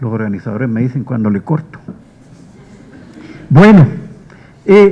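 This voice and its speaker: Against noticeable background noise, a man at medium pitch speaks at a fairly slow pace, with very wide pitch swings and long, frequent pauses. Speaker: history professor. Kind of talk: tribute speech. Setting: auditorium with audience.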